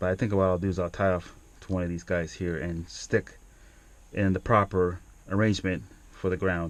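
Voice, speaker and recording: Mumbling at a moderate pace with fairly even intonation, the speaker leaves long, frequent pauses against a quiet background. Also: man, very deep, low pitch for a man. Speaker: DIY car repair video maker. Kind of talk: tutorial. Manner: halting, many fillers.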